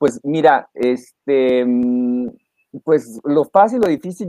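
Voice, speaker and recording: In a dry, close sound with no echo, a man with a fairly high pitch speaks in a dark, mellow tone with lively intonation. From northern Mexico, Reynosa, Tamaulipas. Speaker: lawyer and university lecturer. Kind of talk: interview. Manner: halting, many fillers and repetitions; mature-sounding way of speaking.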